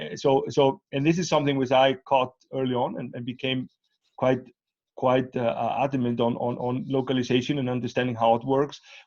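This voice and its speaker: This man has a medium pitch and fairly even intonation as he talks fairly quickly. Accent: Icelandic. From Iceland. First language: Icelandic. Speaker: interviewer. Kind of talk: interview. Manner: halting, many fillers and repeats.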